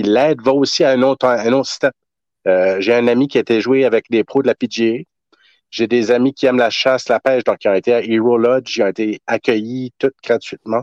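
A man with an unremarkable speaking voice and a medium pitch talks at a fairly quick pace with very even loudness, in a dry, close sound with no echo and a quiet background. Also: fairly even intonation. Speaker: soldier and collector event organizer. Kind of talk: interview.

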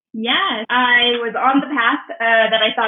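The speaker is a woman with a high pitch. She has an American accent. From US West, Southern California. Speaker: entrepreneur and community builder. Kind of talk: interview conversation.

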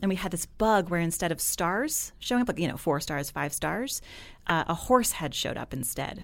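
In a very clean recording with a silent background, a woman with an American accent uses a plain, everyday voice, fairly low in pitch, with lively intonation at a moderate pace. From New Jersey. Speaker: engineering director and author. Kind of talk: interview conversation.

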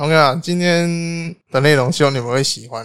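A man talks at a very fast pace in an animated tone, his pitch varying in an ordinary way. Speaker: podcast co-host. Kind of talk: casual chat. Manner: animated, frequent laughter.

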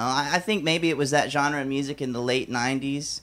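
A man with an American accent speaks at a fairly quick pace and a fairly high pitch. His pitch variation is ordinary, on a very clean recording with a silent background. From Alabama. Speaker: stand-up comedian. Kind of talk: stand-up. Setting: stage with audience.

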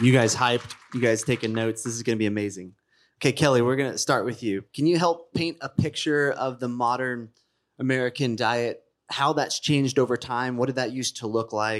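A man in an ordinary speaking voice at a fairly quick pace with fairly even intonation, on a very clean recording with a silent background. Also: medium pitch for a man. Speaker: podcast host and panel moderator. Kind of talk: scripted narration. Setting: stage with audience.

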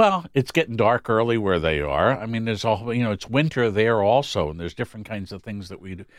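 A man speaks in an ordinary speaking voice at a fairly quick pace with ordinary pitch variation. The recording is very clean with a silent background. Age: 60s. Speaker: psychologist. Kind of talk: casual chat.

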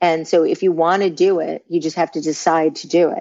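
Speaking with a New York accent, a woman uses a fairly low pitch. She keeps a moderate pace. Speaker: branding consultant. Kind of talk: interview.

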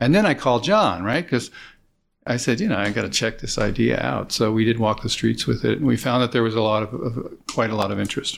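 On a very clean recording with a silent background, a man speaks fairly quickly with an American accent. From US West Coast (California Bay Area). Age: 60s. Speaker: chef and food producer. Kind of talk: interview. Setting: at his home. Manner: halting, repeats words.

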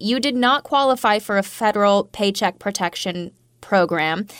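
A woman speaks with an ordinary speaking voice, fairly high in pitch, at a moderate pace with lively intonation. The recording is very clean, with a silent background. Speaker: radio host. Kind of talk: radio news interview.

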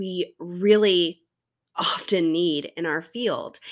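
A woman speaks with a bright, sharp tone. The recording is very clean, with a silent background. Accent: South Carolina. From US South, South Carolina. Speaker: teacher and podcast host. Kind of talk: solo podcast monologue.

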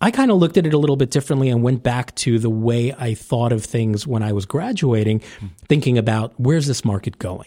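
A man with an American accent talks at a very fast pace. His voice has a dark, mellow tone, medium pitch and ordinary pitch variation. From New York (Staten Island). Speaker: orthodontist and tech founder. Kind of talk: casual interview. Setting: recorded at a conference.

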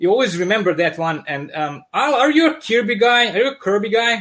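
With a strong Serbian accent, a man speaks at a moderate pace in a high voice with lively intonation. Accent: thick Serbian. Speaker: comic book artist. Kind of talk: casual interview. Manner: animated.

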